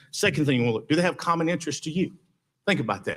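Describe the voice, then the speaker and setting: A man with a Southern US accent. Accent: Southern US (Georgia). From US South, Villa Rica, Georgia. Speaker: mayoral candidate, lawyer. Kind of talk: campaign speech at candidate forum.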